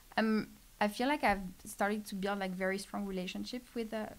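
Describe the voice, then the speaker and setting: This woman speaks with a French accent at a fairly quick pace. Her pitch is medium and her intonation fairly even. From France. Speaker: startup program specialist. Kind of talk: casual podcast interview. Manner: halting, many fillers.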